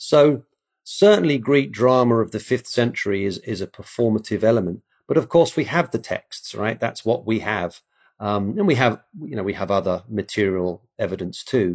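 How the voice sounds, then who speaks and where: Speaking with an English accent, a man uses lively intonation. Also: medium pitch for a man, moderate pace. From England. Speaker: classics professor. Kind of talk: interview.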